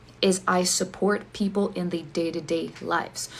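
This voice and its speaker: With a non-native accent, a woman speaks at a fairly low pitch with vocal fry. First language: not English. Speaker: ADHD coach. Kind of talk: direct-to-camera explanation video.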